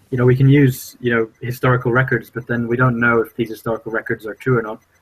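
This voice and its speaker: A man speaks at a very fast pace with a medium pitch. His voice is somewhat breathy, and his intonation is monotone and flat. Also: dry, close sound with no echo. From international upbringing, Swedish parents, born in Brazil. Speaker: podcast co-host. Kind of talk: casual chat. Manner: halting, many fillers.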